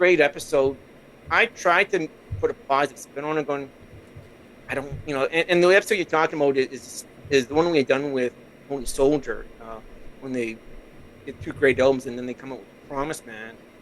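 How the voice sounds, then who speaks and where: The speaker talks at a fairly quick pace, with big swings in loudness and long, frequent pauses. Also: man, fairly high pitch for a man, ordinary pitch variation. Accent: Canadian. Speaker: podcast host, guest on another podcast. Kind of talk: casual podcast interview.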